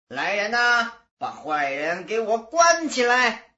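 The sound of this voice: In a put-on character voice, a woman speaks slowly with big pitch swings, a bright, sharp tone, and a fairly high pitch.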